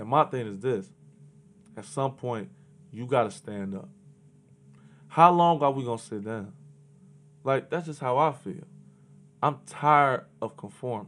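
Speaking at a fairly slow pace with long, frequent pauses, a man of medium pitch uses an animated tone, ordinary pitch variation and big swings in loudness. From Chicago. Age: 20s. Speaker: podcast guest, hip-hop figure. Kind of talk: casual chat.

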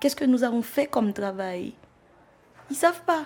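A somewhat breathy woman's voice with lively intonation, at a moderate pace. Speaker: theatre artist. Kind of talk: documentary interview.

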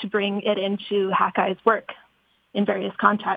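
This woman has an unremarkable speaking voice. Her pitch is medium and her pace moderate. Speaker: research institute scientist. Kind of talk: interview chat. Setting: phone call.

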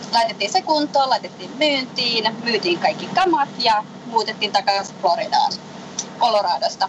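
Against noticeable background noise, a woman with a fairly high pitch and lively intonation talks at a fairly slow pace. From Finland. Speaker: interview guest. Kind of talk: interview. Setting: phone call from a moving sailboat. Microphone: faint, weak line.

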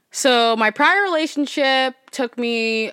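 In a very clean recording with a silent background, a woman uses an ordinary speaking voice. She speaks at a fairly slow pace with ordinary pitch variation. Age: 20s. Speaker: podcast host. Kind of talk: casual solo monologue.

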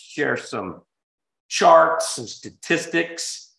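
Vocal fry runs through a man's voice as he talks at a very slow pace. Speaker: podcast host, financial advisor. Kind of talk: casual chat. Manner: casual, filler-heavy.

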